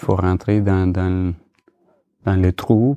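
In a dry, close sound with no echo, a man speaks very slowly at a fairly low pitch with fairly even intonation. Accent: Spanish. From Colombia. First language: Spanish (speaking French). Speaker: photographer. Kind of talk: casual chat. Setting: under a duvet. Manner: halting.

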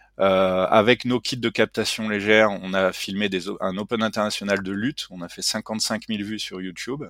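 With a normal speaking voice, a man talks at a moderate pace with hardly any pauses, his pitch fairly low and his intonation fairly even, his loudness swinging a lot, in a dry, close, echo-free sound on a very clean recording with a silent background. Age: 40s. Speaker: tech startup CEO and engineer. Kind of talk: interview.

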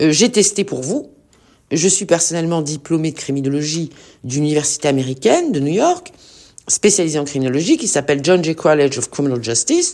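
The tone is dark and mellow, with ordinary pitch variation. The pace is fairly quick, and the recording is very clean with a silent background. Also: woman, very deep, low pitch for a woman. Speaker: podcast host, criminologist. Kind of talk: solo commentary podcast. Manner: enthusiastic, persuasive; hesitant, many fillers.

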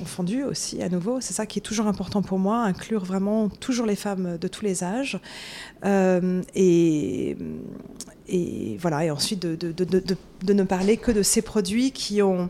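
Fairly even intonation and a medium pitch carry this woman's very slow speech. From France, Paris. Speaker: author and beauty journalist. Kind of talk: casual interview. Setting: office in Manhattan.

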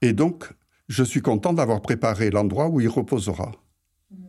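Over a silent background in a very clean recording, a man with a dark, mellow, somewhat breathy tone speaks at a moderate pace with lively intonation. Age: 80s+. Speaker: retiree, host's grandfather. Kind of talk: interview.

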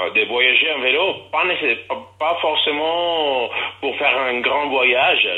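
A man speaks at a fairly slow pace with an Italian accent and ordinary pitch variation. Noticeable background noise sits behind his voice. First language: Italian (speaking French). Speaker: festival organizer. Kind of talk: interview. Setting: phone call.

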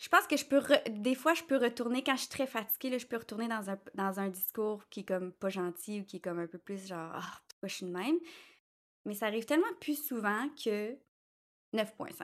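A woman with an unremarkable speaking voice talks at a moderate pace and a fairly high pitch. Her intonation is lively, and her loudness swings widely. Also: very clean recording, silent background. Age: 30s. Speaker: social media manager and intuitive astrologer. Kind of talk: interview.

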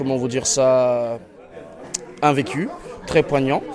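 A man with a fairly high pitch and fairly even intonation, crowd noise in the background. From Congo and Senegal. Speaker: prison inmate. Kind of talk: interview.

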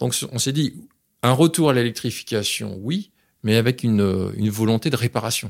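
A man speaks at medium pitch with ordinary pitch variation, an ordinary speaking voice. The recording is very clean, with a silent background. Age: 50s. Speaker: business executive. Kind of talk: interview.

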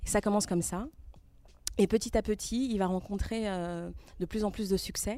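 Long, frequent pauses break up a woman's speech, which has a dark, mellow tone, a medium pitch, fairly even intonation and a moderate pace. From France, born in Togo. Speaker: podcaster. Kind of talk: live podcast interview.

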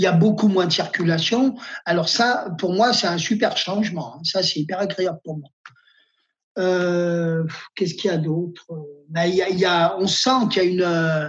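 A man's high voice at a fairly slow pace, with long, frequent pauses and music in the background. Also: ordinary pitch variation. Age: 50s. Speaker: nurse. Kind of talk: personal testimony.

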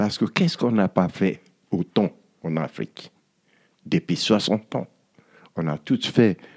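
Lively intonation at a fairly slow pace, with long, frequent pauses. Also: man, fairly low pitch for a man. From Nigeria. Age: 60s. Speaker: musician and author. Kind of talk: interview. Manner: halting.

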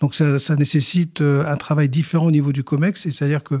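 Fairly quick and somewhat breathy, a man speaks at a fairly high pitch in a dark, mellow tone with fairly even intonation. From northern France, Boulogne-sur-Mer. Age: 60s. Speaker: company president. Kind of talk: interview. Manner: halting.

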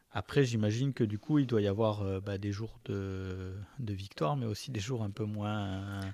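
His tone is dark and mellow, with fairly low pitch and ordinary pitch variation. The man speaks at a fairly slow pace in a very clean recording with a silent background. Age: 40s. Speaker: podcast host and orthotist. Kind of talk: casual interview.

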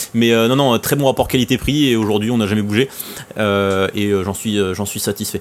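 Noticeable background noise sits behind this man's voice. He speaks at a fairly low pitch with fairly even intonation. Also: moderate pace. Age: 20s. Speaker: airsoft website co-founder. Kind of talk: casual chat.

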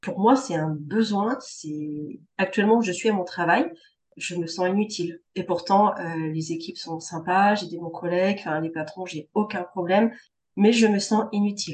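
The delivery is somewhat breathy and fairly slow, with ordinary pitch variation. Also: woman. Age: 30s. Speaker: cancer survivor, administrative assistant. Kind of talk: testimony.

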